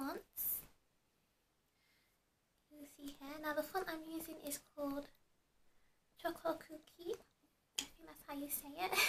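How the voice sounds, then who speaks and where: A soft-spoken woman at a high pitch, with light background noise. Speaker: beauty and tech vlogger. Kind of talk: casual product review to camera. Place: home room. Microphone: camera far.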